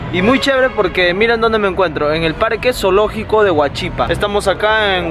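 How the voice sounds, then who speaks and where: A man speaks very fast at a high pitch, the sound dry with no echo but with noticeable background noise. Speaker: vlogger. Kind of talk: casual vlog chat. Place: street. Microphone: phone near.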